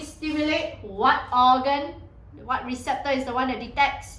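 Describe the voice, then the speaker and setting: Animated and high-pitched, a woman talks at a moderate pace amid noticeable background noise and audible room echo. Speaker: secondary school science tutor. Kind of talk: lecture.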